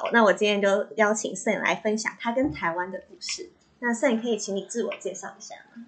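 A woman talks fairly quickly with a Taiwanese accent, her pitch fairly high with ordinary variation. Her loudness swings widely. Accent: Taiwanese Mandarin. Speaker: podcast host. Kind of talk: scripted narration; casual chat.

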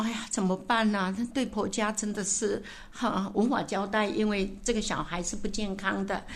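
Monotone and flat in intonation, a woman delivers her words at a moderate pace. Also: medium pitch for a woman. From Taitung, Taiwan. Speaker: senior hospital staff, village leader. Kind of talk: personal storytelling interview.

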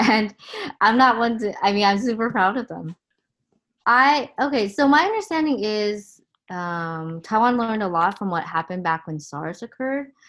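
Lively intonation and a fairly high pitch mark a woman with a Californian accent, talking at a moderate pace on a very clean recording with a silent background. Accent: Californian American. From Southern California. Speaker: emergency physician. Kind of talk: interview.

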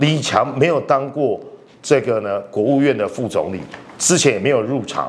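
Against noticeable background noise, a man talks at a fairly high pitch and moderate pace, animated in tone with lively intonation. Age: 50s. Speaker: political commentator. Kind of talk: political analysis talk show.

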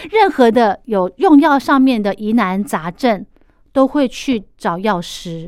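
Speaking with a Taiwanese accent, a woman uses a fairly high pitch and lively intonation. She goes at a very slow pace on a very clean recording with a silent background. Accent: Taiwanese Mandarin. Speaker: podcast host. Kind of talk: casual interview chat.

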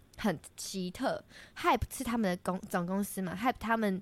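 Recorded very cleanly against a silent background, a woman speaks in a plain, everyday voice at medium pitch with ordinary pitch variation, the sound dry and close with no echo. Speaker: student radio host. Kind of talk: casual chat.

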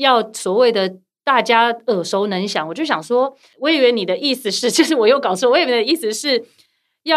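The pace is fairly quick and the intonation lively. It is an unremarkable speaking voice. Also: woman. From partly raised abroad. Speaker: podcast guest. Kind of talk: casual chat. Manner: laughs often.

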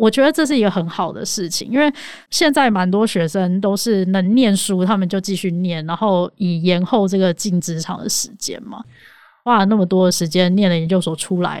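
Very clean audio over a silent background, with a plain, everyday voice, ordinary rises and falls in pitch, and a moderate pace. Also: woman, medium pitch for a woman. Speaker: podcast co-host, debater. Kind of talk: casual chat.

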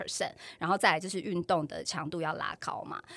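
The voice belongs to a woman. She talks with a flat, monotone intonation. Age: 40s. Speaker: podcast host. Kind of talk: casual chat.

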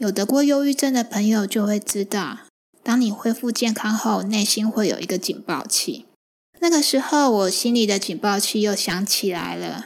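A woman talks at a moderate pace. Her pitch is fairly high and varies in an ordinary way. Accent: Taiwanese. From Taiwan, Chiayi. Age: 40s. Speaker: podcast host and writer, stay-at-home mother. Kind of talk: book-sharing podcast monologue.

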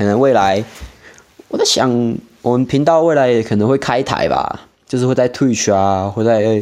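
A man is speaking. He has a Taiwanese accent. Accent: Taiwanese Mandarin. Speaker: podcast host. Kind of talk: casual solo monologue.

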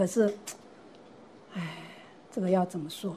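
This woman's voice is somewhat breathy. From Taiwan, Gangshan (Kaohsiung). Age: 70s. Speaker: retiree and senior learner. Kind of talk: interview storytelling.

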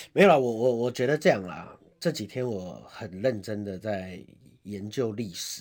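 A man with a plain, everyday voice, fairly low in pitch, with ordinary pitch variation at a moderate pace. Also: big swings in loudness. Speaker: Taipei city councillor. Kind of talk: political talk show interview.

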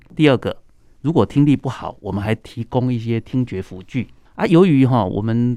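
This man speaks at a medium pitch in a dark, mellow tone, with a Taiwanese accent. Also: quiet background. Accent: Taiwanese Mandarin. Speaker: ENT doctor. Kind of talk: radio interview.

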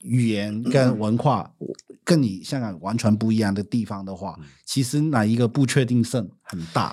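In a very clean recording with a silent background, a man with a Hong Kong accent and a dark, mellow tone speaks at a moderate pace and medium pitch with ordinary pitch variation. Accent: Hong Kong accent in Mandarin. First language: Cantonese (speaking Chinese). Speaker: business owner and former social worker. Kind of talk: casual chat.

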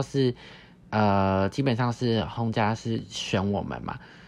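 The speaker is a man with a medium pitch. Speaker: podcast host, former exchange student. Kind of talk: casual interview chat.

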